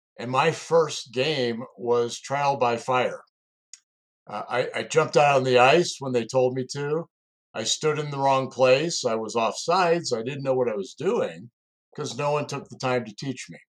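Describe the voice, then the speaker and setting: This man has a plain, everyday voice at medium pitch, with ordinary pitch variation, a moderate pace and big swings in loudness. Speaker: executive coach and security recruiter, co-host. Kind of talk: personal storytelling.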